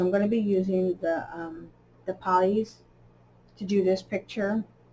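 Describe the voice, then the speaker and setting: Her voice is somewhat breathy and medium-pitched as this woman speaks at a fairly slow pace. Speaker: coloring channel host. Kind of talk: casual chat while coloring. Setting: home recording, early morning. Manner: hesitant, many fillers.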